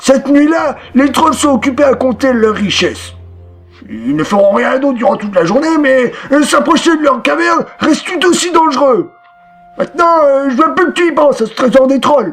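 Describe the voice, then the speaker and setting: A man's put-on character voice at a moderate pace, with faint music in the background. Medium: read story.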